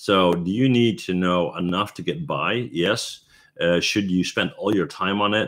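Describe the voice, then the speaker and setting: A man with a normal speaking voice, fairly low in pitch and fairly slow in pace, against a quiet background. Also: ordinary pitch variation. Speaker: 3D artist and tutorial creator. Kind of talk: live stream Q&A. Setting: live stream. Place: home room. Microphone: webcam.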